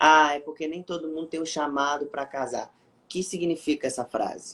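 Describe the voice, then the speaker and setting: A man's fairly high voice with an animated tone at a moderate pace. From Brazil, Rio de Janeiro. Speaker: evangelical preacher on social media. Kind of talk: testimony; casual chat. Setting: online live stream.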